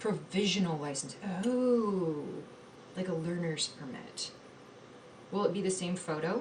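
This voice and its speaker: A woman with a fairly low pitch takes long, frequent pauses, with noticeable background noise and audible room echo around her. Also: ordinary pitch variation. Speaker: livestreamer. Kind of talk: casual chat. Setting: live stream. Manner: fast, stumbling over words.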